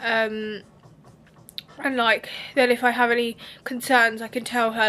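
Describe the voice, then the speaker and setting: A woman speaks in a British accent at a high pitch. Her tone is bright and sharp. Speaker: beauty vlogger. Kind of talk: vlog. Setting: hotel room. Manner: casual, chatty.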